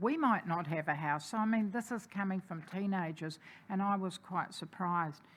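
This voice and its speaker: A woman's fairly low-pitched voice at a moderate pace, on a very clean recording with a silent background. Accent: New Zealand. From New Zealand, Napier. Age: 60s. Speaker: community advocate. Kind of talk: public submission at council hearing. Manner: hesitant with fillers.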